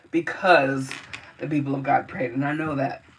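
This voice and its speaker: With noticeable background noise present, a woman talks in a very deep, low pitch. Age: 40s. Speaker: singer. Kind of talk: livestream testimony. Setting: live stream. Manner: animated.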